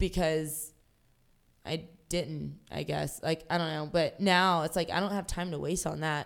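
A woman's fairly low voice with vocal fry and an American accent, fairly slow with long, frequent pauses and fairly even intonation, on a very clean recording with a silent background. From Jacksonville, Florida. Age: 30s. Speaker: pro wrestler. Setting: seated, with a broken tailbone.

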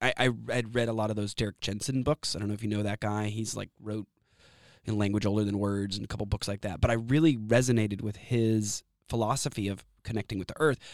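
At a very fast pace, a man talks with fairly low pitch. The sound is dry and close, without echo. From Texas, Austin. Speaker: outdoor education business owner. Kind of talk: interview. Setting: studio. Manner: animated.

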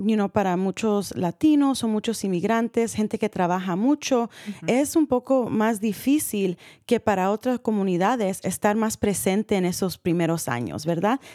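A woman speaks fairly slowly in a dark, mellow tone. The recording is very clean with a silent background, and the sound is dry and close with no echo. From California, US (San Rafael, Marin County). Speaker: radio talk show host. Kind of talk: radio interview. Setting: live radio studio broadcast.

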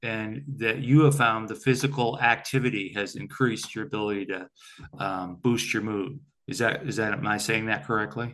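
A man's normal speaking voice at a moderate pace, with ordinary pitch variation. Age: 60s. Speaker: podcast host. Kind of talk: casual interview chat.

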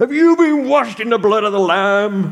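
A man's put-on character voice, high-pitched with lively intonation. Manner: aggressive.

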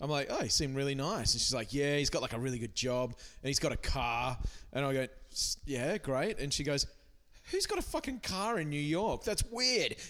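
With an Australian accent, a man with a fairly high pitch speaks with lively intonation and very even loudness in a very clean recording with a silent background. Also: fairly quick pace. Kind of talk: casual chat.

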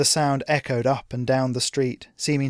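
The voice reads in an unforced way. Intonation remains fairly even throughout.

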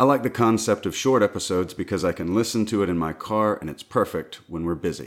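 Delivered at a very fast pace with hardly any pauses, this voice in a Southern US accent has ordinary pitch variation and comes through a very clean recording with a silent background. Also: man, fairly low pitch for a man. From US South. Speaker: podcast co-host and sound engineer. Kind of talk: casual chat.

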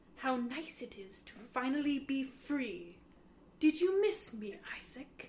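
A woman puts on a character voice with a high pitch. She talks at a fairly slow pace over clear background noise. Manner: chilling, menacing.

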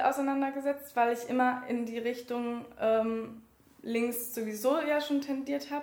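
Amid audible room echo, a woman talks at a fairly slow pace in a high voice with a monotone, flat intonation. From Berlin (Wedding). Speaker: trainee teacher and election candidate. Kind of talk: interview. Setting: office. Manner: halting.

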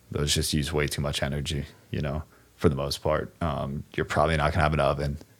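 Over noticeable background noise, a man speaks very fast in a very deep, low voice with flat, monotone intonation. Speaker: video production CEO, filmmaker. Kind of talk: casual chat.

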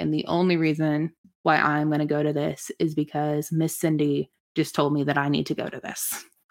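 A woman with a Midwestern American accent speaks at a very deep, low pitch in a monotone, flat intonation. The recording is very clean, with a silent background. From US Midwest, Lincoln, Nebraska. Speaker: church community worker. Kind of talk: casual interview.

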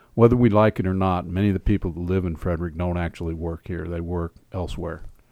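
Speaking at a fairly quick pace in an American accent, a man has a very deep, low pitch and a dark, mellow tone, with a dry, close sound with no echo and a quiet background. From Oklahoma, US. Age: 60s. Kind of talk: interview.

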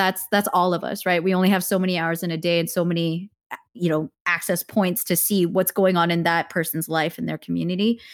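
Speaking at a fairly quick pace with hardly any pauses, a woman with an American accent keeps a fairly low pitch and fairly even intonation in a very clean recording with a silent background. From US, Korean American. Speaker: actor and producer. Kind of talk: interview.

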